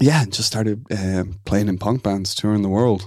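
This man speaks with an Irish accent. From Ireland, Dublin and Waterford. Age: 30s. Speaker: food startup founder. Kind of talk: interview.

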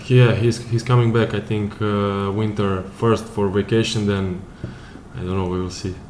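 A man with a Serbian accent speaks at a moderate pace in a fairly low, monotone voice, with noticeable background noise. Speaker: professional footballer. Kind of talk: casual interview. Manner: halting.

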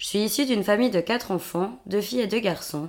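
Her speech moves at a fairly quick pace in a plain, everyday voice. The woman's pitch sits in the medium range with ordinary variation. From Switzerland, Vaud countryside. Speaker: podcast co-host. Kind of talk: scripted monologue.

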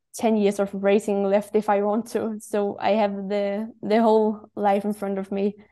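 A woman talks with a Danish accent at a fairly slow pace, her tone dark and mellow. Her intonation is monotone and flat, and the background is quiet. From Denmark. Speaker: professional cyclist. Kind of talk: interview.

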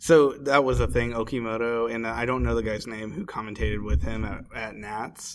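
A man with an American accent, medium-pitched and lively in intonation, at a moderate pace with hardly any pauses, over noticeable background noise. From Indianapolis, Indiana, US Midwest. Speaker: podcast co-host and card game player. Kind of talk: casual chat.

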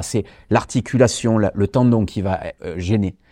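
Over a quiet background, a man with a dark, mellow tone talks at a fairly slow pace, medium in pitch, with ordinary pitch variation. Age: 40s. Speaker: martial arts champion and fitness author. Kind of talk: educational interview.

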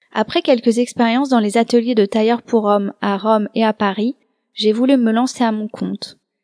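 Recorded with a dry, close sound and no echo, a woman with a fairly high pitch and a dark, mellow tone speaks at a moderate pace with fairly even intonation. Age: 30s. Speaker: podcast host and embroiderer. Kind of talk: scripted narration.

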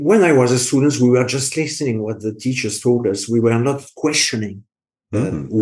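Speaking at a fairly quick pace, a man with a French accent has a medium pitch and ordinary pitch variation. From France. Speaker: engineering education specialist in industry. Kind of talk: interview. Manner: halting.

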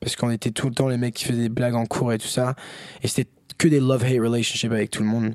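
A man talks at a very fast pace in a medium pitch. His intonation is monotone and flat, with a dry, close sound and no echo. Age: 20s. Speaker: rapper. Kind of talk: casual chat.

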